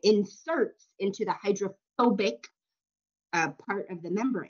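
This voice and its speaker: Her pace fairly slow, a woman with a normal speaking voice and medium pitch talks with lively intonation. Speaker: college instructor. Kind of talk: lecture.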